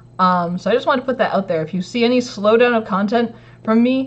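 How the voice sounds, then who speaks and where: The voice is somewhat breathy and moves at a fairly quick pace. Its intonation is lively. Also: woman. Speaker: maker / DIY electronics youtuber. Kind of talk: casual livestream chat. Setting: home livestream. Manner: casual, filler-heavy.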